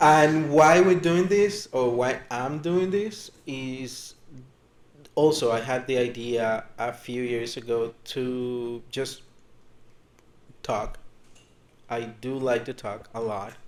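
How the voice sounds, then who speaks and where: Speaking at a very slow pace with long, frequent pauses, a man with a Spanish accent uses lively intonation. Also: medium pitch for a man. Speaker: podcast co-host, hotel worker. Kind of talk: casual chat.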